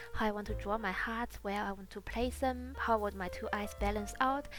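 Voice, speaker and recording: There is noticeable background noise. Over it, a woman talks at a fairly quick pace. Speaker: beauty youtuber. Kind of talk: makeup tutorial voiceover.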